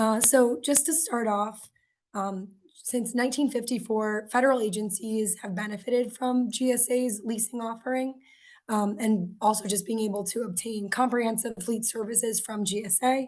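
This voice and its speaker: Somewhat breathy and fairly high in pitch, a woman with an American accent speaks at a moderate pace in fairly even intonation. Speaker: government workshop presenter. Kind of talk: webinar presentation. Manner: casual with fillers.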